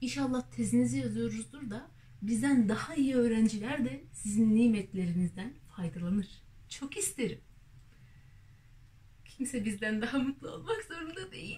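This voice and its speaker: A woman's dark, mellow, somewhat breathy voice at a moderate pace, with very wide pitch swings and big swings in loudness. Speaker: university student vlogger. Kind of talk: comedic rant monologue. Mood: ironic, frustrated humor. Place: home room. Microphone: camera far.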